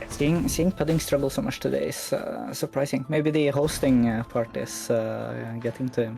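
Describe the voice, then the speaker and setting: A man speaks at a moderate pace, leaving hardly any pauses, with noticeable background noise behind him. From Scandinavia. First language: a Scandinavian language. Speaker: speedrun commentator. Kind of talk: live commentary.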